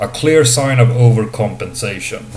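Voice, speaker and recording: A man with a non-native accent speaks at a very slow pace, with a medium pitch and fairly even intonation. Noticeable background noise and audible room echo accompany him. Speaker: video game reviewer. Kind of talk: video game review. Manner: hesitant, many fillers.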